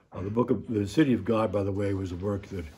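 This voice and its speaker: With audible room echo, a man with a dark, mellow tone and a somewhat breathy, fairly low voice talks at a moderate pace with ordinary pitch variation. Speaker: priest teaching adult Sunday school. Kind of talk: lecture. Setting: classroom in a church. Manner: quiet.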